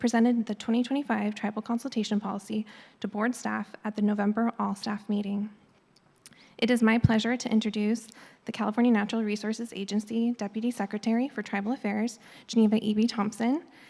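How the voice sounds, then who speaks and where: A woman talks at a very fast pace in a monotone, flat delivery. Her voice is somewhat breathy and fairly high in pitch. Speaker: government environmental scientist. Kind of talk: formal presentation. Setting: public board meeting in auditorium.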